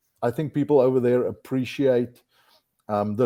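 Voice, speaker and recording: In a South African accent, the speaker talks at a moderate pace with fairly even intonation. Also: man. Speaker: outdoor industry executive. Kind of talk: podcast interview. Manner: hesitant, many fillers and repeated words.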